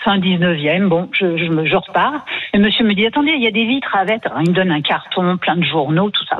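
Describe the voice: At a fairly quick pace, a woman speaks with a fairly low pitch and ordinary pitch variation.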